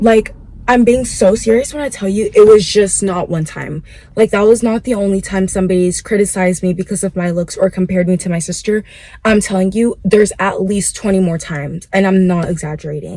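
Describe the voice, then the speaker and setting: Somewhat breathy and dark, mellow in tone, a woman at medium pitch talks at a moderate pace with ordinary pitch variation. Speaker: vlogger. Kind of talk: casual chat. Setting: in a car. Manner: casual, filler-heavy.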